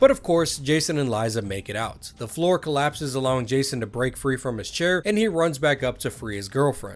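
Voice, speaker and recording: An unremarkable speaking voice from a man, medium-pitched with lively intonation, at a fairly quick pace with hardly any pauses. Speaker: gaming video essayist. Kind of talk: documentary-style narration.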